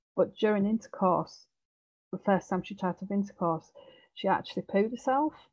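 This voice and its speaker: Speaking at a fairly quick pace in a Yorkshire accent, a woman sounds somewhat breathy, her medium pitch rising and falling in an ordinary way over a quiet background. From East Yorkshire, England. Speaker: nurse and psychosexual therapist. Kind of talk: webinar presentation. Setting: video call. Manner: says um a lot. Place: home room. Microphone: headset.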